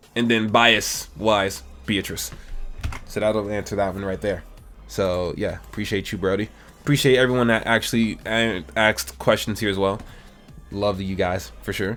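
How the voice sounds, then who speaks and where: A man with a fairly low voice and ordinary pitch variation at a moderate pace, over background music. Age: 20s. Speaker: gaming YouTuber. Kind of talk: casual Q&A chat.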